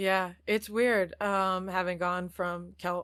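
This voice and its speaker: At a fairly slow pace, a woman with a Midwestern US accent speaks at a medium pitch on a very clean recording with a silent background. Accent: US Midwest. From Iowa, US Midwest. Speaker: actor. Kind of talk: casual chat.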